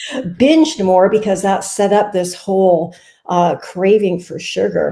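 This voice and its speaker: A woman's plain, everyday voice at medium pitch, with lively intonation and a fairly slow pace. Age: 60s. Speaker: nutrition coach. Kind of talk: interview.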